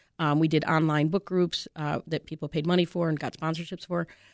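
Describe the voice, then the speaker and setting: A woman's fairly low, flat, monotone voice at a fairly quick pace, on a very clean recording with a silent background. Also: dry, close sound with no echo. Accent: American. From Chicago. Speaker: newspaper publisher. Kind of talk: radio interview. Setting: studio.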